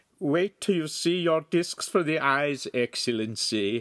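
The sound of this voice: A man does a put-on character voice that is nasal and fairly high. He talks at a fairly slow pace.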